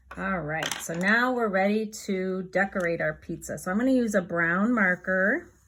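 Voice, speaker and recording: With a plain, everyday voice, a woman speaks at a medium pitch and a moderate pace, with ordinary pitch variation and hardly any pauses, in a very clean recording with a silent background. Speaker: children's art teacher. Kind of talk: tutorial for young children. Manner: gentle, encouraging.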